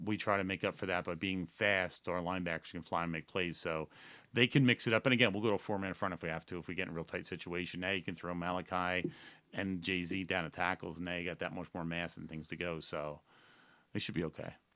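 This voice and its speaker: A man's very deep, low voice with a bright, sharp tone at a fairly quick pace, on a very clean recording with a silent background. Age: 60s. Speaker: high school football defensive coordinator. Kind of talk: casual interview. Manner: animated.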